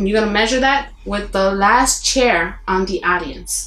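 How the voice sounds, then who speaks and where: A woman with a Puerto Rican accent, fairly high-pitched and lively in intonation, amid noticeable background noise and audible room echo. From Puerto Rico. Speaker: actress. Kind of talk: interview. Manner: mumbling.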